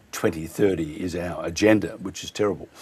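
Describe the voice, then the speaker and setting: An Australian accent at a fairly quick pace with ordinary pitch variation. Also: man. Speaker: radio host. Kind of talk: radio interview.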